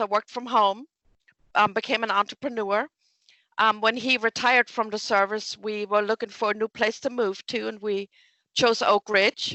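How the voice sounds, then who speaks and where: A woman's fairly high voice in a German accent, monotone and flat, at a moderate pace. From Germany. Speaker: small business development director. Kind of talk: interview.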